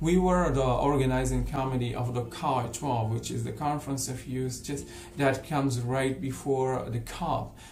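A man at a fairly slow pace with hardly any pauses and fairly even intonation, plus audible room echo and light background noise. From Morocco. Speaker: volunteer. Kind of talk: self-introduction video. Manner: hesitant, many fillers. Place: home room. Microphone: webcam.

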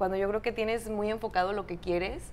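Over light background noise, a woman speaks at a fairly quick pace in a medium pitch with fairly even intonation. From Oaxaca, Mexico (Salina Cruz); Oaxaca. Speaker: TV and radio news presenter; radio news presenter. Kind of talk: casual interview. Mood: warm, proud, smiling. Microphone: lapel.

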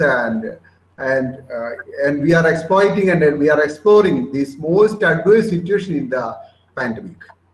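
A man speaks in a high voice at a fairly slow pace. There is audible echo in the room. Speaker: webinar organizer host. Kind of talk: formal webinar hosting. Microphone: video call.

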